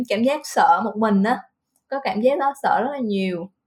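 A woman's fairly high voice, fairly slow, with ordinary pitch variation. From Vietnam, Central Highlands (Lâm Đồng, near Đà Lạt). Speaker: Vietnamese expat worker. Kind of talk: casual interview chat. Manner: hesitant, many fillers.

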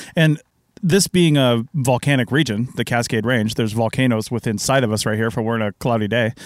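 A man with an American accent and an ordinary speaking voice, medium pitch, ordinary pitch variation and a fairly quick pace, on a very clean recording with a silent background and a dry, close sound with no echo. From Washington State, US. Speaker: podcast host, archaeologist. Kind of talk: interview. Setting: RV at a campground.

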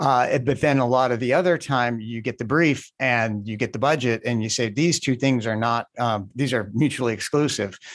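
With an American accent and a normal speaking voice, a man speaks at a moderate pace and medium pitch with ordinary pitch variation and hardly any pauses. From Indiana. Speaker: podcast host. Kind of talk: interview.

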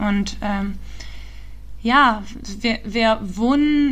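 Audible room echo surrounds a woman with a non-native accent. Her pitch is fairly high and her intonation fairly even. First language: not German (speaking German). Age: 20s. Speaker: startup founder and climate activist. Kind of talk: interview. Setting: remote call. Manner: halting, many fillers.

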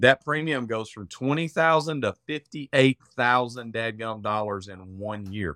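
In an Arkansas accent, a bright, sharp voice moves at a fairly slow pace with hardly any pauses, ordinary pitch variation and big swings in loudness. The very clean recording has a silent background and a dry, close sound with no echo. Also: man, medium pitch for a man. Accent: Southern US (Arkansas). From Arkansas, US South. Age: 40s. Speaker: cyber insurance specialist. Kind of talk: casual interview chat. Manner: many filler words (um, uh).

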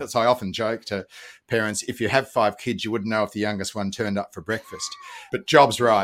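With an Australian accent, a man talks at a fairly quick pace and medium pitch. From Australia, Melbourne. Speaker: parenting educator. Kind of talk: interview.

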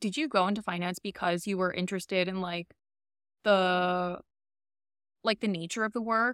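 On a very clean recording with a silent background, a woman with an American accent speaks at medium pitch and a moderate pace. Her long, frequent pauses stand out in a dry, close sound with no echo. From Queens, New York. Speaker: podcast host, former finance worker. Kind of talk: casual chat.

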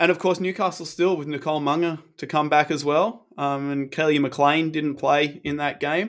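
Speaking with hardly any pauses, a man with an Australian accent has a fairly high pitch. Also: fairly even intonation, moderate pace, very clean recording, silent background. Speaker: basketball podcast co-host. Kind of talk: casual chat.

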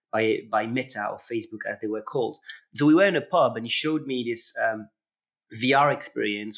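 Speaking at a moderate pace, a man with a slight French accent talks at a medium pitch. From France, Paris. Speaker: immersive learning entrepreneur. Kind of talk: interview conversation. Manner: frequent repetitions and hesitations.

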